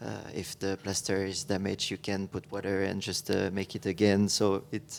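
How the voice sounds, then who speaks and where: The voice has a French accent and monotone, flat intonation. It moves at a moderate pace. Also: man, fairly low pitch for a man. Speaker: architect. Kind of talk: panel discussion. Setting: stage with audience. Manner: halting.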